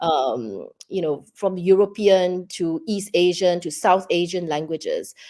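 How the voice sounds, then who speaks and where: A woman with a fairly low pitch and a dark, mellow tone speaks at a fairly slow pace with hardly any pauses and ordinary pitch variation. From Singapore. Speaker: children's book writer. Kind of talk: interview. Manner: halting.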